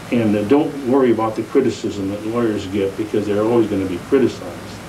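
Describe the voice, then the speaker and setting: Over noticeable background noise and audible room echo, a man with an American accent talks at a very fast pace in a medium pitch with ordinary pitch variation. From San Jose, California. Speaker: retired judge. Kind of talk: oral history interview. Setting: at home. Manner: halting.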